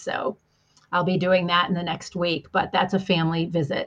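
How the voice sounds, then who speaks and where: A woman's fairly low-pitched voice at a moderate pace, an unremarkable speaking voice. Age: 50s. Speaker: executive coach and marketing strategist. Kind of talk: casual interview.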